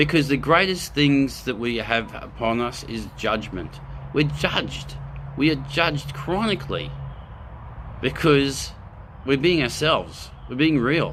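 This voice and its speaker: Speaking at a fairly slow pace in an Australian accent, this voice carries an audible room echo. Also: man. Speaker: spiritual video host. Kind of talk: live spiritual talk. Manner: animated; loud.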